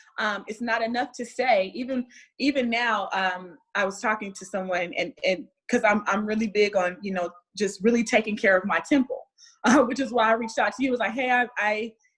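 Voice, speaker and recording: A woman with an American accent has an ordinary speaking voice, pitched fairly high. She moves at a fairly quick pace with ordinary pitch variation. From United States. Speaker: wellness speaker. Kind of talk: casual interview chat.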